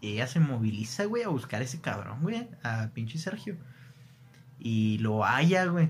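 This man's voice is somewhat breathy and swings very widely in pitch. He talks at a fairly slow pace. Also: medium pitch for a man. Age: 20s. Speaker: podcast host. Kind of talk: casual chat.

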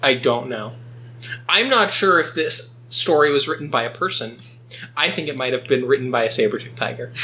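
A man's voice at medium pitch, with ordinary pitch variation and a fairly quick pace over noticeable background noise. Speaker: podcast host. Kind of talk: casual comedic chat reading and recapping stories.

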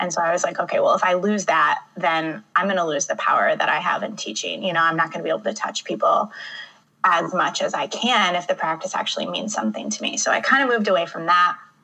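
The speech has an American accent and a very fast pace. Noticeable background noise sits behind it. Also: woman. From Michigan. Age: 30s. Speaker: poet and author. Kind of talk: casual interview chat.

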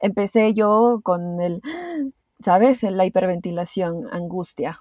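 Delivered very slowly, the speech breaks into long, frequent pauses while the intonation stays fairly even. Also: woman. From Peru. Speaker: podcast guest sharing anxiety experience. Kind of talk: interview, personal testimony.

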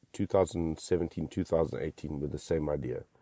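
Speaking with a very deep, low pitch and vocal fry, a man has a dark, mellow tone and ordinary pitch variation, the sound dry and close with no echo. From South Africa. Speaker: sommelier podcast host. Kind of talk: solo monologue podcast. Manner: animated.

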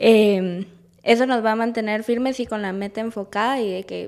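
Here is a woman with an unremarkable speaking voice, fairly high in pitch and fairly even in intonation. She talks at a fairly slow pace on a very clean recording with a silent background. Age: young. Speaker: graphic design student. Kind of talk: casual chat.

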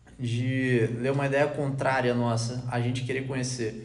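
A man speaks at a fairly slow pace with a Rio de Janeiro accent and medium pitch. His intonation stays fairly even, and the room echo is audible. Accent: Rio de Janeiro Brazilian Portuguese. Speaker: podcast panelist. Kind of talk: casual group discussion.

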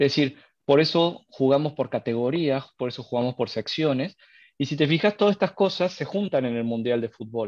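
A man with a strong Argentine accent and fairly high pitch talks at a moderate pace with lively intonation, the sound dry and close with no echo. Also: quiet background. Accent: Argentine, stronger than usual. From Argentina, Córdoba. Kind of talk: live podcast discussion. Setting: live stream with call.

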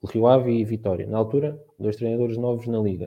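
A man with a medium-pitched voice talks at a fairly quick pace with fairly even intonation. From Portugal, Santarém district (Ribatejo). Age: 20s. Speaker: communications student, football fan panelist. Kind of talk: casual panel discussion.

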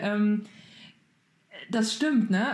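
Noticeable background noise runs under the voice, which carries an audible room echo. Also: woman. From Germany. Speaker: podcast co-host. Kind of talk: casual chat.

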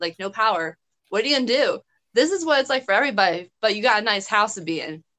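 Talking at a fairly quick pace, a woman uses a fairly high pitch and a bright, sharp tone. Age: 20s. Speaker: podcast host. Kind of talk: casual chat.

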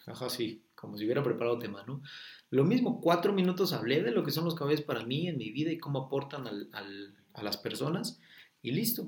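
A man talks at a fairly quick pace with a fairly high pitch and a somewhat breathy voice. His tone is animated, with very wide pitch swings. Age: 20s. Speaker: horse trainer. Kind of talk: interview conversation.

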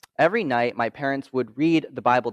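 A man talks at a fairly quick pace with ordinary pitch variation, in an unremarkable speaking voice. The sound is dry and close with no echo, against a quiet background. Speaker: student ministry intern giving a talk. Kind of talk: testimony talk.

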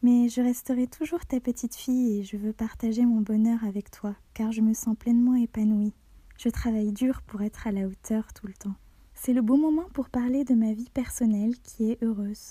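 A woman's fairly high-pitched voice with a dark, mellow tone, fairly even intonation and a moderate pace, in a dry, close sound with no echo. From Algeria and France. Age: 20s. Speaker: student sharing a personal testimony. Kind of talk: reading a personal letter aloud.

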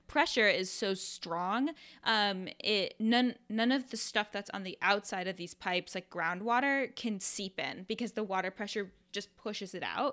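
A woman with an American accent at a fairly slow pace, medium in pitch with ordinary pitch variation, bright and sharp in tone, with hardly any pauses, on a very clean recording with a silent background. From US Midwest, Iowa. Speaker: podcast co-host. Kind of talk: casual chat.

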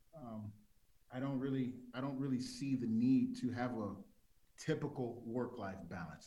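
In a room with audible echo, a man with an American accent talks with ordinary pitch variation. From South Central Los Angeles. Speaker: TV executive producer. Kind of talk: interview.

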